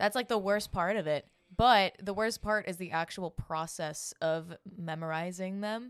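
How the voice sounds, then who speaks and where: On a very clean recording with a silent background, a woman speaks at a moderate pace. She has an unremarkable speaking voice at a medium pitch. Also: ordinary pitch variation. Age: 20s. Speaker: musical theater student. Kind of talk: casual chat. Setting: live at a house party.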